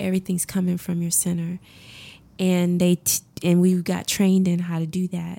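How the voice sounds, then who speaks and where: In a very clean recording with a silent background, a woman speaks in an American accent. Her tone is calm and relaxed, and her pace is moderate. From Augusta, Georgia, US South. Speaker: massage therapist. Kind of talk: interview chat. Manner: calm, relaxed.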